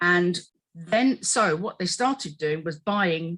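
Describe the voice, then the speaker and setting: The recording is very clean, with a silent background. The speaker talks with an English accent and lively intonation. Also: woman. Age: 60s. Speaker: dieting expert. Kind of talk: podcast discussion.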